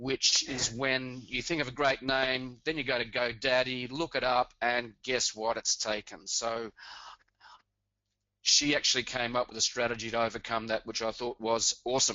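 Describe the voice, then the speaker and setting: With an Australian accent, a man speaks at a medium pitch in a monotone, flat intonation. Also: moderate pace. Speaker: blogger and webinar co-host. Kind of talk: webinar introduction. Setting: webinar.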